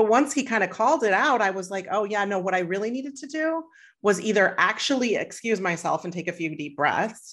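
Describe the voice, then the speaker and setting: A woman uses an ordinary speaking voice at medium pitch, with lively intonation and a moderate pace. The background is quiet. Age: 40s. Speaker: happiness coach. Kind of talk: interview conversation.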